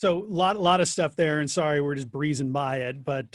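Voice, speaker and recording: A man's intonation stays fairly even as he talks at a fairly brisk speed. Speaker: family law attorney, seminar presenter. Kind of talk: legal webinar lecture. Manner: fast, rushing through slides.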